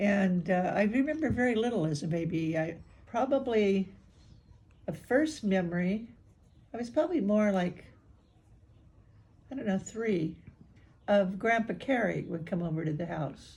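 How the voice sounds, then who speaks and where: A woman speaks at a moderate pace and medium pitch, somewhat breathy, in a dark, mellow tone. Her intonation is lively, broken by long, frequent pauses. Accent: American. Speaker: older woman recounting family history. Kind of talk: oral history interview. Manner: halting.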